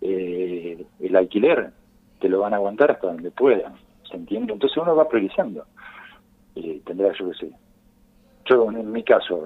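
Pitched at a medium level with ordinary pitch variation, a man's voice moves at a moderate pace. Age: 50s. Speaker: kiosk owner. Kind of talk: radio interview. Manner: halting.

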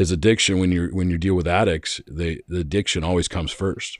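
Speaking with an American accent, a man has a very deep, low pitch and fairly even intonation. The recording is very clean, with a silent background. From Arizona. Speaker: podcast host. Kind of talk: casual chat.

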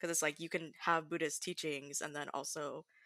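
A woman with an American accent speaks at a moderate pace in a very deep, low pitch with a bright, sharp tone and fairly even intonation, on a very clean recording with a silent background. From Southern California. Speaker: educator. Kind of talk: casual chat.

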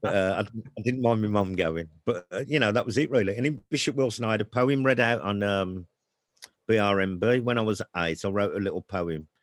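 With a Brummie accent, a man speaks at a fairly quick pace and a fairly low pitch, with ordinary pitch variation. The sound is dry and close, with no echo. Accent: Brummie (Birmingham). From Birmingham, England. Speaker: author. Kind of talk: casual chat.

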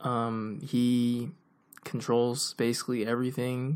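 A man is the one talking. For his voice, the pitch is medium. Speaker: podcast co-host. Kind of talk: casual chat. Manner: speeds up when excited.

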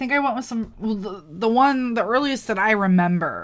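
Bright and sharp in tone, a woman speaks with an American accent at a fairly high pitch. Her pitch varies in an ordinary way, on a very clean recording with a silent background. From US Midwest (Wisconsin). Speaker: podcast co-host. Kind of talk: casual chat.

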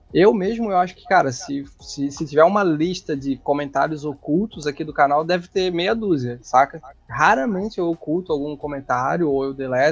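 Moderate pace, big swings in loudness and ordinary pitch variation, with music in the background. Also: man, fairly high pitch for a man. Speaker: motorcycle youtuber and test rider. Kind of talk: casual chat.

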